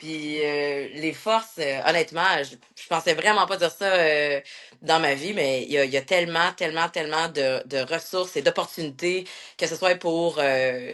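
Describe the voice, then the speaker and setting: Her pitch is fairly low. The woman talks at a fairly slow pace. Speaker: military instructor. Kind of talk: interview. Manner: loud; halting.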